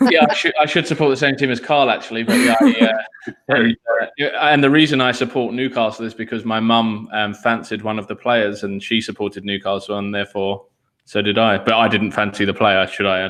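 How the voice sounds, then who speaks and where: With an English accent, a man talks at a fairly quick pace in a medium pitch, with ordinary pitch variation. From England. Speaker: recruiter. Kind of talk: online panel Q&A.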